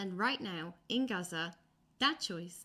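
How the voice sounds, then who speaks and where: On a very clean recording with a silent background, a woman with an Irish accent speaks very slowly in a bright, sharp tone with lively intonation. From Ireland. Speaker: political commentator. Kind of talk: video commentary. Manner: impassioned.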